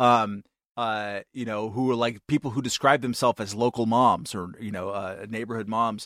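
The recording is very clean, its background silent. An unremarkable speaking voice keeps a moderate pace and fairly even intonation. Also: man, medium pitch for a man, dry, close sound with no echo. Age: 50s. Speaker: podcast co-host. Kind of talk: casual chat.

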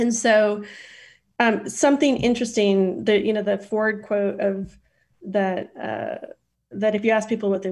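In a very clean recording with a silent background, a woman with an American accent speaks at a moderate pace and medium pitch, somewhat breathy, with fairly even intonation. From Idaho, US. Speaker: nonprofit finance center CEO. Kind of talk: interview conversation.

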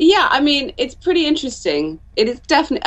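This woman's voice swings very widely in pitch. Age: 30s. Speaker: home economist. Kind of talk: interview. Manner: halting.

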